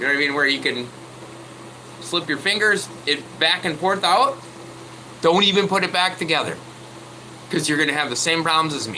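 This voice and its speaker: Loud and at a fairly quick pace, a man with a high pitch and ordinary pitch variation talks with long, frequent pauses over noticeable background noise. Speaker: truck mechanic vlogger. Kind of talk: casual tutorial chat. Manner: halting.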